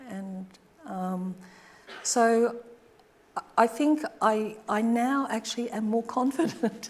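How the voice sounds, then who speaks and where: A woman with an Australian accent. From Australia, Brisbane. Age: 70s. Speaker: artist. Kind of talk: audience Q&A after lecture. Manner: halting, hesitant.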